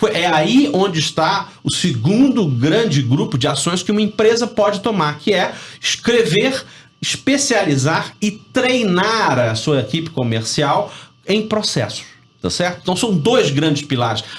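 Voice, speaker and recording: A man's voice, high in pitch, swings very widely up and down as he talks at a fairly slow pace. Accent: Rio de Janeiro. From Rio de Janeiro, Brazil. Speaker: business professor and sales consultant. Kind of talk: radio interview. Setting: radio studio.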